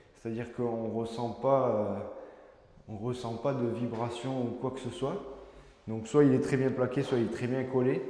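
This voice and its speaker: Over noticeable background noise and audible room echo, a man with a medium-pitched voice speaks at a fairly slow pace with fairly even intonation. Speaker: home renovation vlogger. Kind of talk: casual renovation walkthrough. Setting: empty room in a house under renovation. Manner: loud; hesitant, many fillers.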